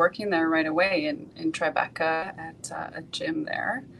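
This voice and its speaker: A woman with a Canadian accent, fairly low in pitch and fairly slow, amid loud background noise. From Vancouver, Canada. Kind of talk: interview. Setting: video call. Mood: calm, reflective. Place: office. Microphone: video call.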